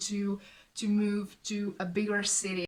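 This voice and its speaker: At a medium pitch, a woman speaks with a Hungarian accent. She goes at a fairly slow pace, with noticeable background noise. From southern Hungary. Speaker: student vlogger. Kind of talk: casual storytelling vlog. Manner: halting.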